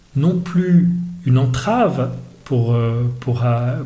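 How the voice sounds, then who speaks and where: A medium-pitched male voice with lively intonation, audible room echo and noticeable background noise. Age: 60s. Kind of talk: podcast interview. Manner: hesitant, many fillers.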